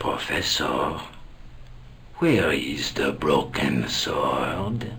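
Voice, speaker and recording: A man whispers very slowly in a put-on character voice. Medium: video game. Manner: authoritative, cold.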